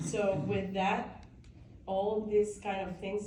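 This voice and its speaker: Amid noticeable background noise and audible room echo, a woman with a strong Peruvian accent speaks at a fairly slow pace and medium pitch. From Peru, Lima. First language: Spanish. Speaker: business chamber president. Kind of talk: public speech. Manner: halting.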